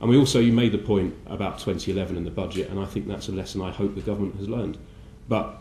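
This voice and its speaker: A man speaks very fast, fairly low-pitched, with a dark, mellow tone, ordinary pitch variation, and vocal fry. Audible room echo surrounds his voice. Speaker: politician. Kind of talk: conference speech. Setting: breakfast briefing event. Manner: halting with many fillers.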